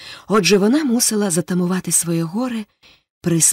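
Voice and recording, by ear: Someone reads aloud in a natural voice, the pitch moving in an ordinary way. All is quiet behind the voice.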